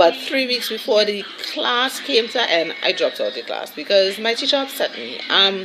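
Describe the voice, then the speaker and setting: A woman's fairly high-pitched voice at a moderate pace, with lively intonation and noticeable background noise. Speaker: vlogger. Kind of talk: casual vlog chat.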